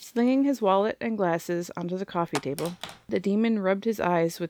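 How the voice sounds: The voice is a natural reading voice with ordinary pitch variation.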